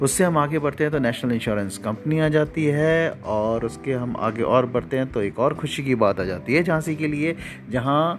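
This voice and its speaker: Over noticeable background noise, a man with a medium pitch speaks at a moderate pace with lively intonation. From Jhansi, Bundelkhand, India. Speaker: local city podcaster. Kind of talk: descriptive guided tour narration. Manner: casual, heavy Hindi-English code-switching.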